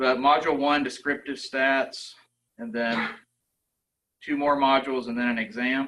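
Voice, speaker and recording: A man talks at a fairly slow pace with a bright, sharp tone. His medium pitch carries fairly even intonation. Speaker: university lecturer. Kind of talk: presentation.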